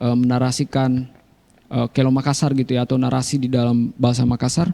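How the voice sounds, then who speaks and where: Speaking in a South Sulawesi accent, a man talks at a very fast pace in a medium pitch with a dark, mellow tone. His intonation is monotone and flat, his loudness very even, and the sound dry and close with no echo. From South Sulawesi, Bulukumba. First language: Konjo (speaking Indonesian). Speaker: writer. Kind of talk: radio talk show interview.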